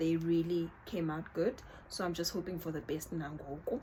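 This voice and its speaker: Noticeable background noise sits behind this woman. She speaks at a fairly slow pace with a South African accent. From South Africa, Northern Cape. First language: Xhosa. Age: 30s. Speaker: YouTuber. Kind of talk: casual vlog chat. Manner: informal, code-switching.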